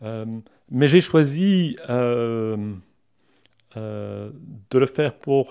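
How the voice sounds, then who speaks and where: The man's voice has a dark, mellow tone at a medium pitch. He speaks at a very slow pace. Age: 50s. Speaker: career transition coach. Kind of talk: interview. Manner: halting.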